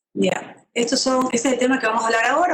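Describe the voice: A woman speaks at a fast pace, her fairly bright tone carrying a slightly husky edge.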